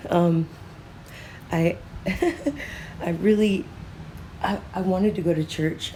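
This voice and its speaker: Noticeable background noise sits behind a woman's medium-pitched voice. She speaks at a very slow pace with fairly even intonation and long, frequent pauses. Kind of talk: free-flowing thought monologue.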